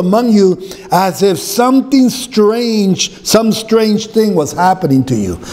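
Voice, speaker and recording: A man talks at a fairly slow pace with an American accent. His pitch is high and his intonation lively. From US Southwest (Arizona). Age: 60s. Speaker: pastor. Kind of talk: sermon. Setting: church. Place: church. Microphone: podium.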